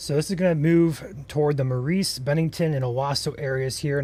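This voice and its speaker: A somewhat breathy man's voice with an American accent and ordinary pitch variation. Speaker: storm chaser livestream host. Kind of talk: live weather coverage. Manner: soft-spoken.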